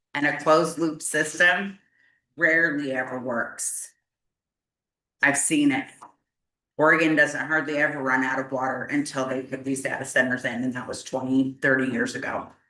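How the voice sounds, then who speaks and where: Loud and bright, a woman speaks with a sharp tone and a very deep, low pitch. Her intonation is fairly even, broken by long, frequent pauses. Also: moderate pace. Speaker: resident speaking at public hearing. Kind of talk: public comment at county meeting. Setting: county commissioners court hearing. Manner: emotional, halting.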